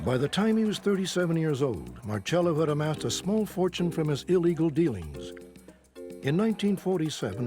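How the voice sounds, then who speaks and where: Music plays behind a man who speaks with a fairly high pitch, lively intonation and a fairly quick pace. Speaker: documentary narrator. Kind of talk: documentary narration. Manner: authoritative.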